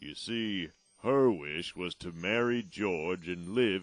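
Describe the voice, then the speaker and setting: A man in a put-on character voice at a fairly slow pace. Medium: audio drama. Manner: calm, explanatory.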